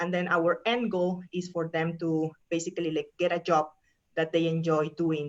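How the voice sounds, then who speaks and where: A woman speaks at a moderate pace in a fairly low voice, her intonation flat and monotone. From Peru. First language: Spanish. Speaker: professor. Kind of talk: presentation talk.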